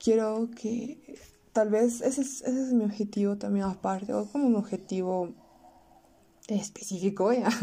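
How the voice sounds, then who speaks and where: With a fairly high pitch and a dark, mellow tone, a woman speaks at a fairly slow pace, her intonation fairly even and her pauses long and frequent. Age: young. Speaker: podcaster. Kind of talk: personal audio diary monologue. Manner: halting.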